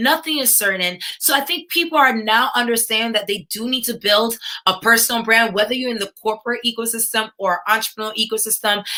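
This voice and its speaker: With an American accent, a woman speaks at a fairly quick pace and a fairly high pitch, her tone bright and sharp, with ordinary pitch variation and hardly any pauses. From New York, US. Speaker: tech entrepreneur and speaker. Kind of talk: conference keynote talk. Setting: virtual livestreamed summit. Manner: animated, addresses audience directly.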